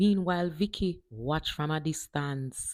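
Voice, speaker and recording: Speech in a Jamaican accent at a fairly slow pace. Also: woman. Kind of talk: storytelling reading aloud.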